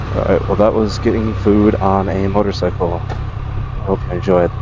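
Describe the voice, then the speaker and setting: Noticeable background noise and audible room echo surround a man speaking at a moderate pace in a fairly low voice with fairly even intonation. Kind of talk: casual vlog narration. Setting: drive-through on a motorcycle. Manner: whispering.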